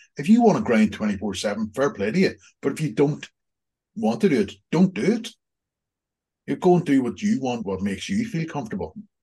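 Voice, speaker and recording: A man with a Northern Irish accent speaks at a moderate pace with long, frequent pauses. His fairly high voice has a dark, mellow tone, vocal fry and very wide pitch swings. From Northern Ireland. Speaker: executive coach and accountancy lecturer. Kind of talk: casual interview. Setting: video call.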